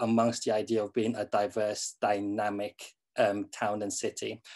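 A man with a southern English accent and a medium pitch, against a quiet background. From southern England. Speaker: university staff network co-chair. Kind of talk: panel discussion. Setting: video call. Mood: thoughtful, engaged. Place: home room. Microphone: video call.

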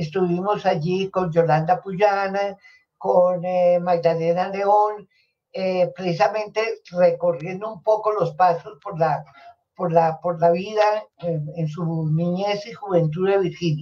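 A woman's dark, mellow tone at a very slow pace, with fairly even intonation. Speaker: sociologist; guest. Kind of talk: interview conversation. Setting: live stream. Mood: warm, reminiscing. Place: home room. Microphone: webcam.

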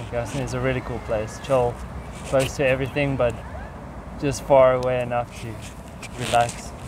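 Monotone, flat delivery at a moderate pace with long, frequent pauses, in a dry sound with no echo and noticeable background noise. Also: man, medium pitch for a man. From South Africa. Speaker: English teacher. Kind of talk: casual chat. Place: garden.

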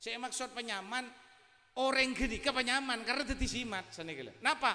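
A man projects a raised voice with a bright, sharp tone. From Madura. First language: Madurese (speaking Indonesian). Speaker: Islamic preacher. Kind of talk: sermon. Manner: animated. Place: hall. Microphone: handheld.

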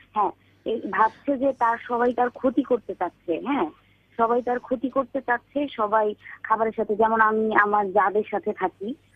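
The loudness stays very even throughout, and the pitch varies in an ordinary way. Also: woman, fairly high pitch for a woman. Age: young. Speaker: caller. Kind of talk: phone-in personal problem account. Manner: halting.

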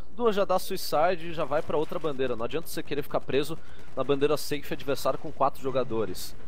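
A man with a Brazilian accent speaks in a calm tone, his voice fairly high with ordinary pitch variation. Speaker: technical co-commentator. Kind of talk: sports commentary, analysis. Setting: online stream, remote. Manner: explanatory, calm, analytical.

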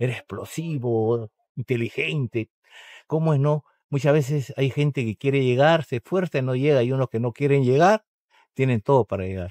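A man's medium-pitched, dark, mellow voice at a moderate pace, ordinary pitch variation, dry, close sound with no echo, quiet background. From Peru, Callao. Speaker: retired footballer. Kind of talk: interview. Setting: outdoors at a stadium.

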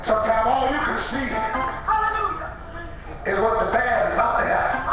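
A man speaks at an extremely high pitch with very wide pitch swings and a fairly slow pace. Strong room echo and noticeable background noise fill the recording. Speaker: apostle, preacher and church pastor. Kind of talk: sermon delivered at a tent revival. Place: tent.

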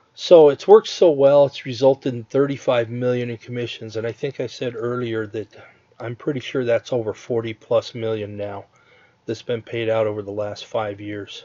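A plain, everyday voice with big swings in loudness, fairly even intonation and a moderate pace. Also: man, medium pitch for a man. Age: 50s. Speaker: online marketer. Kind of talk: webinar sales pitch. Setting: online webinar with screen share.

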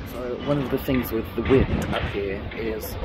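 Background music accompanies the recording. The man talks fairly slowly. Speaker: balcony gardener vlogger. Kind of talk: casual vlog chat. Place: garden. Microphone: phone near.

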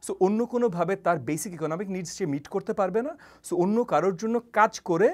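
A man speaks with a high pitch. His pitch varies in an ordinary way over a quiet background. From Bangladesh. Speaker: politician and university lecturer; politician, university teacher. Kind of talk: interview. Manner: halting. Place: studio. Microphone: lapel.

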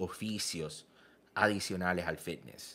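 A man speaks in an animated tone. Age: 30s. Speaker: fitness coach. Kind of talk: vlog commentary. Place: home room.

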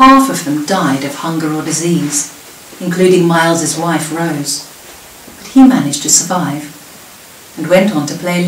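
Against light background noise and audible room echo, a woman speaks at a moderate pace in a fairly low pitch. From southern England. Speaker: local history presenter. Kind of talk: prepared talk. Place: home room. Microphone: webcam.

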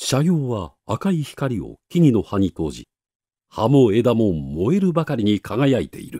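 A man's dark, mellow voice at medium pitch, fairly slow, with very wide pitch swings, in a dry, close sound with no echo on a very clean recording with a silent background. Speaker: narrator. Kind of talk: literary reading.

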